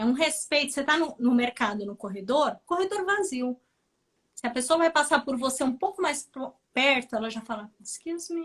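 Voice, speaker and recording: This woman talks at a moderate pace with a high pitch. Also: lively intonation. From Brazil. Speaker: nurse. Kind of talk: interview chat on a live stream.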